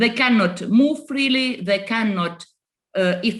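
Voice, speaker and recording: With a Russian accent, a woman speaks at a moderate pace and medium pitch, her intonation lively. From Estonia. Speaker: politician. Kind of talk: panel discussion. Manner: halting.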